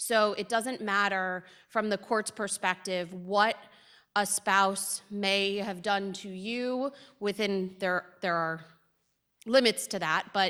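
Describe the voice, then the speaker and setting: A loud woman with a bright, sharp tone at a very slow pace, on a very clean recording with a silent background. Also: medium pitch for a woman, fairly even intonation. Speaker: family law attorney. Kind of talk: lecture.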